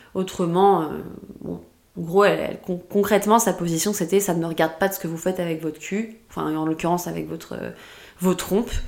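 Fairly low in pitch, a woman talks at a fairly quick pace. Her intonation is fairly even. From France. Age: 20s. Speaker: podcast guest sharing sterilization experience. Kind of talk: testimony. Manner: hesitant, many fillers and repetitions.

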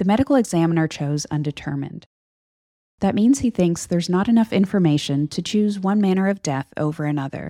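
Fairly quick, lively speech from a woman, fairly low in pitch, with a dark, mellow tone. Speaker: true crime podcast co-host. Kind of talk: scripted narration.

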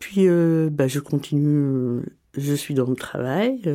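Here a woman speaks at a very slow pace with a dark, mellow tone. Her intonation is lively. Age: 40s. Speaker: cancer patient sharing her story. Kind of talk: personal testimony. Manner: hesitant, many fillers.

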